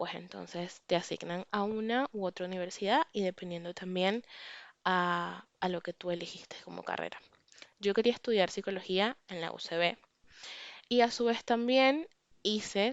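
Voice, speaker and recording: Pausing long and often, a woman speaks at a fairly slow pace and medium pitch with ordinary pitch variation. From Venezuela. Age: 20s. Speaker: podcast host. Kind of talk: personal reflection monologue. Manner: casual, conversational.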